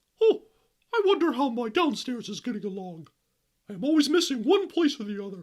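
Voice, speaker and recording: A put-on character voice, fairly high in pitch, with very wide pitch swings and a fairly quick pace. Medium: read story. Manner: stammering, fretful.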